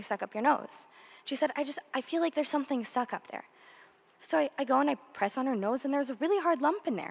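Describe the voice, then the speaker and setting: A woman speaks loudly and very fast. Her high voice shows ordinary pitch variation. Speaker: older sister of a victim speaking at a memorial. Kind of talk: memorial tribute speech.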